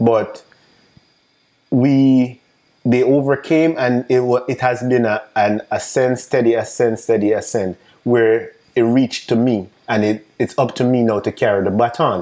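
A man with a Jamaican accent speaks at a fairly slow pace and a medium pitch, in a dark, mellow tone with very even loudness. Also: fairly even intonation. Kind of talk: casual interview.

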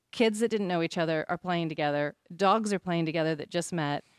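A woman with an American accent has an unremarkable speaking voice at medium pitch, with ordinary pitch variation. She talks at a fairly quick pace on a very clean recording with a silent background. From Oregon, US Pacific Northwest. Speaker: business owner. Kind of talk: casual interview.

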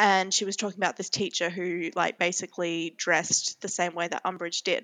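A woman with an Australian accent, fairly quick pace and a bright, sharp tone. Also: dry, close sound with no echo. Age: 20s. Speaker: podcast co-host. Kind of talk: casual chat.

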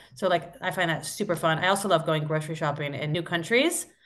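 A woman's normal speaking voice with an American accent, fairly low in pitch, at a fairly quick pace with ordinary pitch variation. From US Midwest (Iowa). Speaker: app co-founder. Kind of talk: casual interview.

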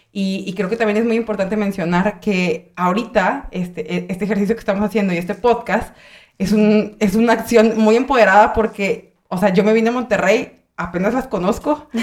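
Using a normal speaking voice, a woman of medium pitch talks with hardly any pauses. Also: fairly even intonation, moderate pace. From Michoacán, Mexico. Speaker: podcast host. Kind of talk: casual chat.

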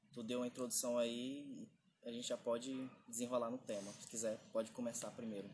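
Noticeable background noise accompanies a voice moving at a fairly quick pace with fairly even intonation. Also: man, medium pitch for a man. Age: 20s. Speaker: podcast co-host. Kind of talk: casual chat.

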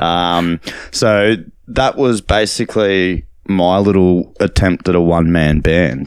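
A man's very deep, low voice with an Australian accent, a very slow pace and ordinary pitch variation. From Australia, Gold Coast (Nerang). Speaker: DJ and record label owner. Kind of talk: interview. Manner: halting, many fillers.

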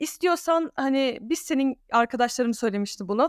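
This woman talks at a fairly quick pace with a high pitch, recorded in a dry, close sound with no echo. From Alanya, Turkey (Danish family). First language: Danish (speaking Turkish). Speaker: content creator. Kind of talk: casual interview chat.

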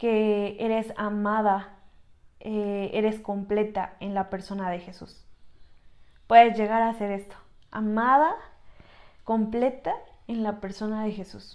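Talking at a very slow pace with long, frequent pauses, a woman speaks in a fairly high pitch with monotone, flat intonation and big swings in loudness. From Mexico, Tlaxcala. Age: 20s. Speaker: podcast co-host, church youth worker. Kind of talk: casual chat. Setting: small room, seated together.

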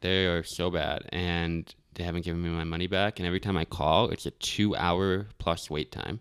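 A man's very deep, low voice at a moderate pace with hardly any pauses, on a very clean recording with a silent background. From Florida (born in Albany, New York; also Arizona, Tennessee). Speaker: podcast host. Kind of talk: casual chat. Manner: animated.

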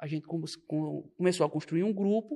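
This man's voice is high-pitched, its pitch varying in an ordinary way. Little can be heard behind him in the quiet background. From Pernambuco, Brazil (Belo Jardim). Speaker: young politician and political commentator. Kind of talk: podcast interview.

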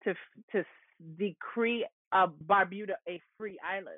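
This woman has a New York accent. Her pitch sits at a medium level. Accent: New York American. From New York, the Bronx, to Antiguan parents. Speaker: history professor and author. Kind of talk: interview.

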